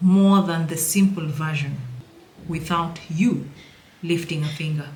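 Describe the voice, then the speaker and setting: A woman speaks at a very slow pace with a very deep, low pitch and fairly even intonation. Noticeable background noise and audible room echo are present. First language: not English. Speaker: personal finance educator. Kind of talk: tutorial. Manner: casual, playful.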